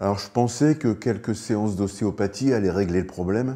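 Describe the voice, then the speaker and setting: A man at a moderate pace, with a quiet background. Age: 60s. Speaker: lung cancer patient. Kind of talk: testimony. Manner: hesitant, many filler sounds.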